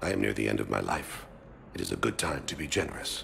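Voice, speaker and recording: A man's put-on character voice, very deep and low, at a very fast pace over clear background noise. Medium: video game. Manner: calm, formal, no contractions.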